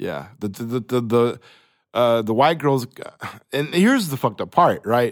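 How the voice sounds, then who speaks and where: A man with an American accent talks at a moderate pace, his medium pitch showing ordinary variation. He leaves long, frequent pauses, and the recording is very clean with a silent background. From Oklahoma (Choctaw). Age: 30s. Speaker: podcast guest. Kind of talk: casual chat. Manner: halting.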